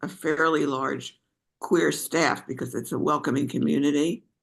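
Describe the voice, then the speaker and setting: Vocal fry marks this woman's very deep, low-pitched speech. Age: 80s+. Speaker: retiree, group member. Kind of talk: casual chat.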